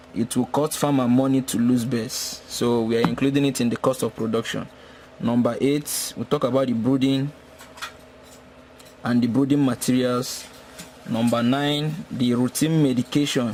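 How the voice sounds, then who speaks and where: The speaker uses fairly even intonation against noticeable background noise. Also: man, medium pitch for a man, moderate pace. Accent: Nigerian. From Nigeria. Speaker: poultry veterinarian and farmer. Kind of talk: tutorial.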